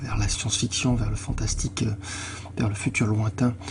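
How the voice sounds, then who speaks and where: Noticeable background noise behind a man speaking at a fairly low pitch. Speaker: gaming youtuber. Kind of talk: video game commentary. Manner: halting.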